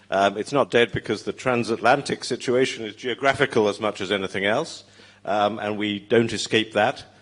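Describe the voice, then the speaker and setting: With a British accent, a man speaks at a moderate pace in a fairly low pitch and fairly even intonation. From Britain. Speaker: former magazine editor, panelist. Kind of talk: panel discussion.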